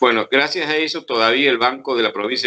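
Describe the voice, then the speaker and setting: The man talks at a very fast pace with a bright, sharp tone. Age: 70s. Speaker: historian. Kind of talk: interview. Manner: halting.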